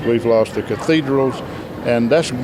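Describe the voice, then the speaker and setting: A man with fairly even intonation, amid noticeable background noise and audible room echo. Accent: Southern US. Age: 60s. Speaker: gospel quartet singer. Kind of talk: interview.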